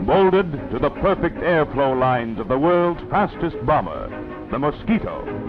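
Clear music plays behind the voice. A man talks at a moderate pace. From Canada. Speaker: newsreel narrator. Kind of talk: wartime documentary narration. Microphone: old recording.

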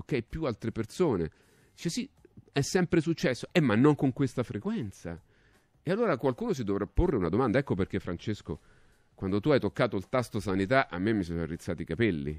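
Long, frequent pauses break up a voice with very wide pitch swings, recorded with dry sound, no echo and a quiet background. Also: man, medium pitch for a man. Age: 60s. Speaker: radio talk show host. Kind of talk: talk show commentary; talk radio commentary. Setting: radio studio, also on TV. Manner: halting, repetitive. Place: studio. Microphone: studio mic.

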